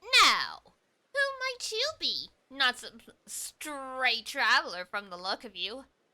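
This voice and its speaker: In a put-on character voice, a female-sounding speaker talks at a fairly slow pace with a high pitch. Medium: virtual streamer. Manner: sneering.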